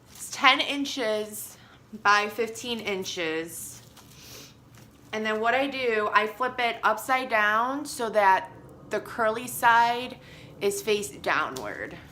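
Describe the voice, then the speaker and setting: A woman with an American accent and a bright, sharp tone speaks at a very slow pace, her fairly high pitch carrying lively intonation. Her loudness swings widely, and audible room echo fills the space. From Chicago. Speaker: crafter. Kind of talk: tutorial. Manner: casual, hesitant with fillers.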